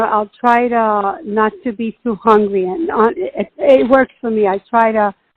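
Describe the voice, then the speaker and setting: Her voice is fairly high. This woman talks at a moderate speed. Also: hardly any pauses. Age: 60s. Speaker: patient sharing diet experience. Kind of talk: interview. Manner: halting.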